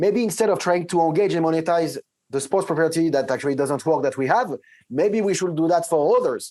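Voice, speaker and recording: On a very clean recording with a silent background, a man with a French accent speaks fairly quickly at a fairly high pitch with ordinary pitch variation. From France. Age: 40s. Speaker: tech company CEO. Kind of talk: interview. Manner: hesitant, many fillers and restarts.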